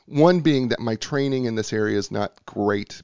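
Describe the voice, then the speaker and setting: Speaking fairly quickly, a man shows ordinary pitch variation. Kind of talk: scripted intro and interview. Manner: animated; excitable.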